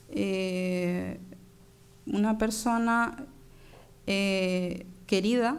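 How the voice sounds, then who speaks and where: A woman's fairly even intonation amid audible room echo. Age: 30s. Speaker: conference speaker, doctoral researcher. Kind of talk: conference talk. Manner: halting, many fillers.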